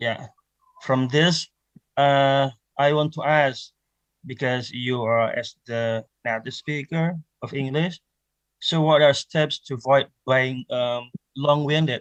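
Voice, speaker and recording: A man with an Indonesian accent speaks at a fairly high pitch with fairly even intonation. His pace is very slow with long, frequent pauses, and the sound is dry and close with no echo. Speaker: conference participant. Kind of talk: audience question. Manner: halting.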